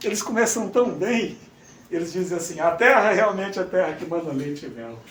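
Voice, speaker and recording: A man speaks at a high pitch with lively intonation and big swings in loudness, with audible room echo and noticeable background noise. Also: fairly quick pace. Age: 60s. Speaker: preacher. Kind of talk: sermon. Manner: animated.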